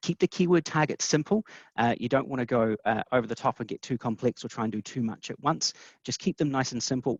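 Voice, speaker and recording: In a New Zealand accent, the speaker talks at a very fast pace with ordinary pitch variation, in a dry, close sound with no echo. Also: man, medium pitch for a man. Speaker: webinar presenter, SEO specialist. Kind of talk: webinar presentation. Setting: online webinar. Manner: many fillers and repetitions.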